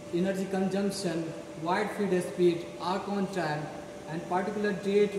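With noticeable background noise and audible room echo, a man speaks in a high pitch at a moderate pace with monotone, flat intonation. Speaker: product demonstrator. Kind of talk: product demonstration explanation. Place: hall. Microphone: camera far.

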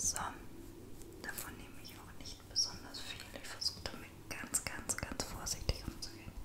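Her speech comes as a whisper. The pace stays moderate throughout. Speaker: ASMR vlogger. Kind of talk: ASMR makeup routine talking to camera. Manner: soft, whispering. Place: home room. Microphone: studio mic.

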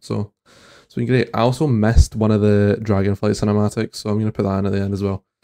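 A man with a Scottish accent, fairly low in pitch, dark and mellow in tone, very fast, with fairly even intonation and a quiet background. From Scotland. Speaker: reaction content creator. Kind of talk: casual reaction commentary to camera. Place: home room. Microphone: studio mic.

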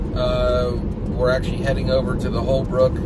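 With music in the background, a man talks at a moderate pace in a dry sound with no echo. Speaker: driver vlogger. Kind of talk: casual vlog chat. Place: car. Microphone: phone near.

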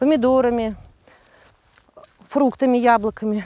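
Talking at a fairly quick pace, a woman is heard in a dry sound with no echo. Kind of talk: interview answer. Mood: candid, lightly self-mocking. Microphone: lapel.

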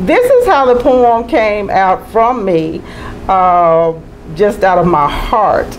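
With a Mississippi accent, a woman speaks at a very slow pace over faint background music. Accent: US Southern (Mississippi). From Mississippi, Tupelo. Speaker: poet and author; guest. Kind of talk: interview. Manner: animated. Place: studio. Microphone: lapel.

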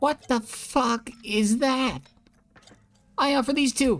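A strained put-on character voice sits at a fairly high pitch. It moves at a very slow pace. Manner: strained character voice.

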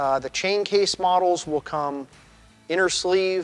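Over faint background music, a man talks at a very slow pace with fairly even intonation. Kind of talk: product explainer. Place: shop.

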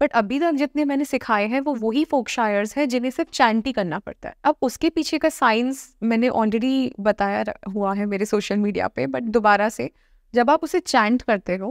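A woman with a fairly high pitch talks at a fairly slow pace with lively intonation, her dry sound carrying no echo over a quiet background. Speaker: dentist and occult practitioner; guest. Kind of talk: interview. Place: studio. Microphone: lapel.

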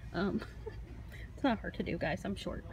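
A woman is recorded with a dry sound and no echo. There is light noise in the background. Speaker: toy collector vlogger. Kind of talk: casual vlog chat. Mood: excited, cheerful. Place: shop. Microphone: phone near.

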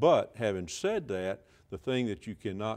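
A man with an Alabama accent and fairly low pitch, against a quiet background. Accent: Southern US (Alabama). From northwest Alabama. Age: 60s. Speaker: state senator and physician; state senator. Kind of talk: political interview. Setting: TV studio. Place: studio. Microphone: lapel.

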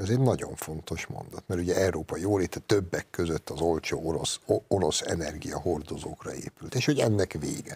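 A man's very deep, low voice with lively intonation, a fairly quick pace and hardly any pauses. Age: 50s. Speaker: writer and columnist; guest. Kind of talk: TV political discussion. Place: studio. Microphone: lapel.

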